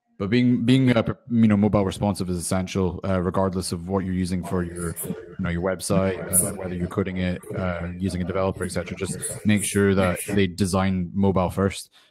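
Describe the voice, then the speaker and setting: Over noticeable background noise, a man with a very deep, low pitch talks at a fairly quick pace in monotone, flat intonation with hardly any pauses. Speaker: host of a business Q&A livestream. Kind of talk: live Q&A session. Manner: halting, pausing. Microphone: hears own echo through guests' speakers.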